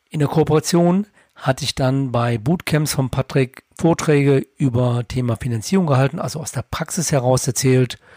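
A man speaks at a moderate pace and medium pitch, with ordinary variation. His tone is dark and mellow and somewhat breathy, in a dry, close sound with no echo. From Lower Rhine, Germany. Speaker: finance podcaster, bank clerk. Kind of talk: scripted narration.

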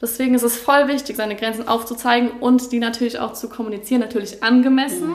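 Over noticeable background noise, a woman with a high pitch talks at a very fast pace, with hardly any pauses and fairly even intonation. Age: 20s. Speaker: graphic designer and student. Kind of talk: casual interview.

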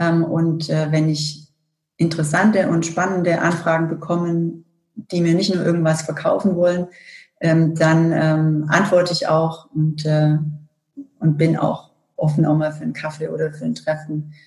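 The speech comes at a fairly slow pace with monotone, flat intonation. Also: woman, fairly low pitch for a woman. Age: 40s. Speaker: corporate communications director. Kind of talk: interview.

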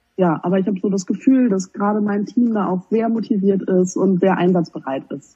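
Using a plain, everyday voice, a woman speaks at a fairly quick pace with hardly any pauses, a medium pitch and ordinary pitch variation. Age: 20s. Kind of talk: interview.

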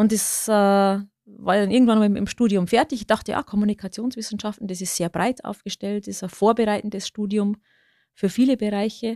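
A woman's dark, mellow voice with a slight Lower Bavarian accent, fairly quick and fairly even in intonation, on a very clean recording with a silent background and a dry, close sound without echo. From Lower Bavaria, Bavarian Forest. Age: 50s. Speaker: media executive. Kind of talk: interview. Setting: studio.

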